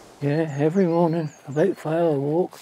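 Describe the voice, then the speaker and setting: Over noticeable background noise, a man talks at a fairly high pitch with monotone, flat intonation. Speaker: grandfather recalling wartime childhood. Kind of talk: documentary interview answer.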